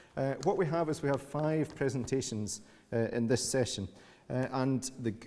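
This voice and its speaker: A man's dark, mellow tone, with ordinary variation in pitch. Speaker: session chair. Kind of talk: event introduction. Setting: conference room with audience. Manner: loud. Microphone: echo on mic.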